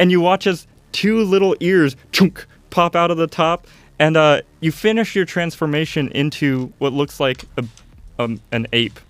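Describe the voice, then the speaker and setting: Music plays behind a man speaking at a fairly slow pace. His pitch is fairly high with ordinary variation, and the sound is dry and close with no echo. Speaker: tabletop game master. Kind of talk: casual chat and tabletop roleplaying session.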